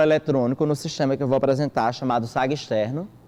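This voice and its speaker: Here a man talks quite briskly. His pitch varies in an ordinary way. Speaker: government agency trainer presenting a system. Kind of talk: training presentation. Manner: fast.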